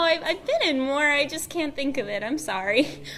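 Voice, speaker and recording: A woman with lively intonation at a moderate pace, over noticeable background noise. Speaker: fandom voice actor, panelist. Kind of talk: convention panel talk.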